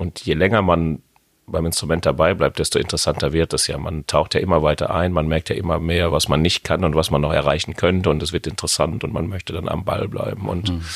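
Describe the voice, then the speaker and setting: Speaking very fast in a Westphalian accent, a man keeps a very deep, low pitch and fairly even intonation. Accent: Westphalian speech melody. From Westphalia, Germany (Hamm). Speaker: jazz pianist. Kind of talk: casual interview. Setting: jazz club.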